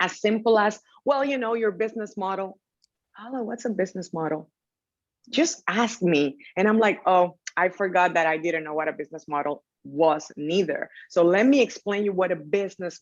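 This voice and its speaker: A woman of medium pitch speaks with a Dominican accent and ordinary pitch variation. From Dominican Republic. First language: Spanish. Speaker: technology entrepreneur. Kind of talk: panel interview.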